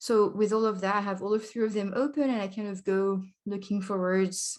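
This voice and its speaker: In a French accent, a woman at medium pitch speaks at a moderate pace against a quiet background. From France. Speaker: language learning vlogger. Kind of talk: casual vlog talk. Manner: hesitant, filler-heavy.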